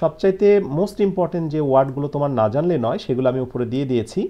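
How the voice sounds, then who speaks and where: Very wide swings in pitch from a man whose voice sits fairly high. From Bangladesh. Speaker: English teacher. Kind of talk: online lecture. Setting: live stream.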